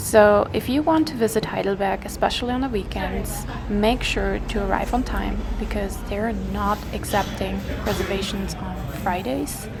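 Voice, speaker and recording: A woman speaks at a moderate pace with a German accent. Noticeable background noise and audible room echo are present. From Germany, Bavaria. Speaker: travel vlogger. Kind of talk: vlog narration.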